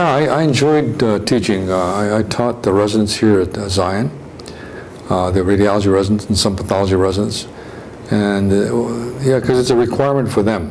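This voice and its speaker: With an American accent, a man speaks fairly quickly at a fairly low pitch with ordinary pitch variation. Audible room echo and noticeable background noise are present. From California. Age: 70s. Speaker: retired physician. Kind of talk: interview reminiscence. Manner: halting, many repetitions and fillers.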